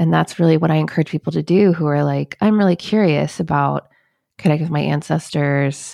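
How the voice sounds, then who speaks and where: A woman talks at a fairly quick pace with very even loudness. The recording is very clean and dry, with a silent background and a close sound free of echo. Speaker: podcast host and author. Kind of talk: interview, conversational. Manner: warm, affirming.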